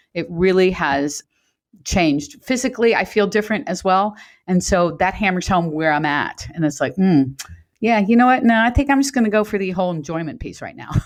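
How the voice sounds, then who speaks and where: Against a quiet background, a woman talks at a fairly quick pace with medium pitch and lively intonation. She has a normal speaking voice. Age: 60s. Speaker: fitness coach. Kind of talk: casual chat.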